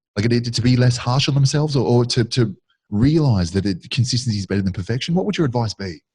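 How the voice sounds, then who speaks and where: Speaking at a very fast pace, a man uses a somewhat breathy, medium-pitched voice with lively intonation. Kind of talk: casual chat.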